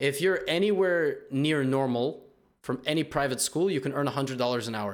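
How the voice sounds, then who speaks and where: A man with a New York accent, fairly high-pitched, at a fairly quick pace. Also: ordinary pitch variation. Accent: New York area American. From US Northeast, New Jersey. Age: 20s. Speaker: podcast host, chess YouTuber. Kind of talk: casual chat.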